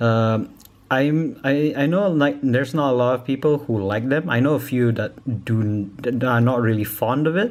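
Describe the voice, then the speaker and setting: A man speaks with a non-native accent and ordinary pitch variation. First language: not English. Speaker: YouTuber opening card packs. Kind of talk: unboxing video. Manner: casual, halting.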